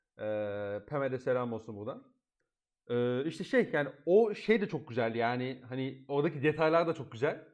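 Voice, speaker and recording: Using a plain, everyday voice, a man of medium pitch speaks at a moderate pace with lively intonation. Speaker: podcast host. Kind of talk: casual chat.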